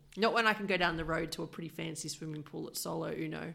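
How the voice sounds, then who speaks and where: A woman speaks at a fairly quick pace. Her voice has vocal fry and a very deep, low pitch. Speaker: podcast host. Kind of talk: casual interview.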